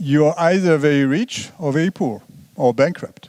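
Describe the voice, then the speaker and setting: In a French accent, a man speaks at a fairly high pitch. His intonation is lively. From France. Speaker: economist. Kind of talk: lecture. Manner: halting.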